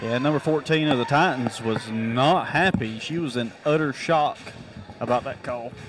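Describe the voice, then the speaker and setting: A man with an American accent at a medium pitch, ordinary pitch variation and noticeable background noise. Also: moderate pace. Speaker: color commentator. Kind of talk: live commentary. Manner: halting.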